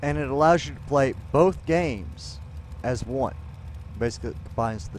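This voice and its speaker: The man's pitch swings very widely at a moderate pace. The sound is dry with no echo, over light background noise. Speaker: gaming streamer. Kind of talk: live stream commentary. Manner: casual, halting with fillers.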